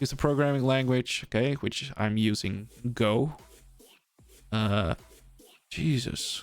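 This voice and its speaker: Pausing long and often, a man talks very slowly with very even loudness and ordinary pitch variation. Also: medium pitch for a man. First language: Dutch. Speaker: streamer. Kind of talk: live stream commentary. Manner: casual, thinking aloud.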